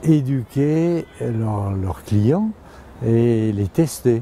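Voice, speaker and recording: Lively intonation from a male speaker. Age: 80s+. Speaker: mountain guide. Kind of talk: interview.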